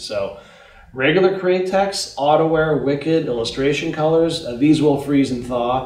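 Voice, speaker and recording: With audible room echo around him, a man talks at a moderate pace with ordinary pitch variation. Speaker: paint company president. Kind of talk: interview Q&A about products. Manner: informative, technical. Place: shop.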